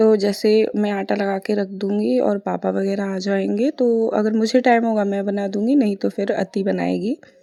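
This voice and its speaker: A woman with a medium pitch and a dark, mellow tone speaks at a fairly slow pace with fairly even intonation and hardly any pauses. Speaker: vlogger, mother. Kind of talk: vlog voice-over. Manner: casual, chatty.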